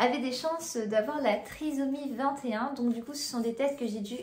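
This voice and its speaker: The speaker talks at a moderate pace with ordinary pitch variation, amid audible room echo and noticeable background noise. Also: woman. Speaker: family vlogger. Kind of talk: casual vlog talk to camera. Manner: halting, many hesitations.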